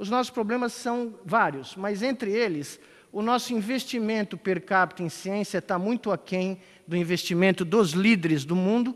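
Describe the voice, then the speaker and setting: Moderate pace and ordinary pitch variation from a man with a high pitch. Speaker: conference speaker. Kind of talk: conference talk.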